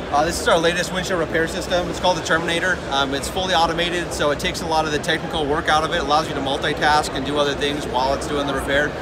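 Against loud background noise, a man talks at a very fast pace with hardly any pauses. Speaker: glass repair tool company rep. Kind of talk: product demonstration. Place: hall. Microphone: phone near.

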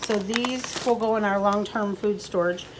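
A woman's fairly even intonation comes through over noticeable background noise. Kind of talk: casual vlog chat. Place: home room. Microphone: phone near.

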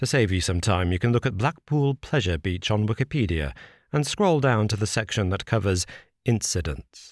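In a very clean recording with a silent background, a man with a normal speaking voice talks at a moderate pace, his pitch fairly low. His intonation is lively, his loudness very even, and the sound dry and close with no echo. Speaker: audiobook narrator. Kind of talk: horror story narration, read aloud. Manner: measured, serious.

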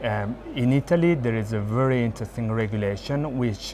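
Light background noise sits behind a man as he talks. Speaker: interviewee. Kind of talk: interview answer. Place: hall. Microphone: lapel.

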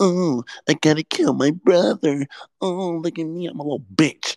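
A whiny, put-on character voice sits at a middle pitch and a moderate pace. The recording is very clean, with a silent background. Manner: whiny, mocking.

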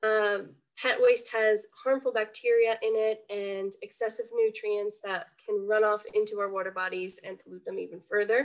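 Against a quiet background, a woman speaks at a moderate pace with hardly any pauses and big swings in loudness. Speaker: environmental education coordinator; environmental educator. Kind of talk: webinar presentation. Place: home room. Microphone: webcam.

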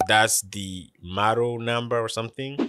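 Noticeable background noise sits behind a man speaking in a dry sound with no echo. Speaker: tech reviewer. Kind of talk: product review talk. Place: studio. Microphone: studio mic.

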